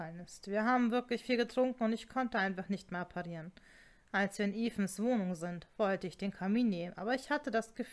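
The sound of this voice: An unforced reading voice with pitch that shifts an ordinary amount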